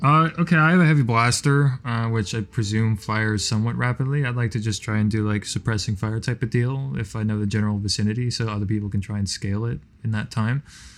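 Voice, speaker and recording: A medium-pitched man talks at a very fast pace with hardly any pauses. His pitch varies in an ordinary way. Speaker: tabletop game player.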